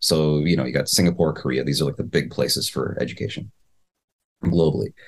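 This man talks in a Midwestern American accent with vocal fry. His pitch variation is ordinary. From US Midwest. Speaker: podcast co-host, communications teacher and startup founder. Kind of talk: casual chat.

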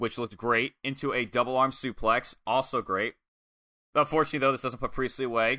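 Against a quiet background, a man speaks at a fairly quick pace with a medium pitch. His tone is bright, sharp and animated, in a dry, close sound with no echo. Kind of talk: wrestling match recap, narrating moves blow by blow like play-by-play. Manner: animated, fast-paced, stumbling to find words mid-description.

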